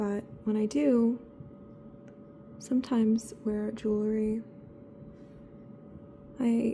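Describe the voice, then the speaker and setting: Soft-spoken and very slow, a woman talks in a fairly high pitch with ordinary pitch variation. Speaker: ASMR creator. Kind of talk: ASMR soft-spoken chat.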